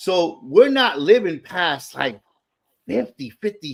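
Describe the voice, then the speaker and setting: A man speaking at a fairly slow pace. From US South, Atlanta, Georgia. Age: 40s. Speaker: sneaker enthusiast. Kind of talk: casual chat. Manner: animated.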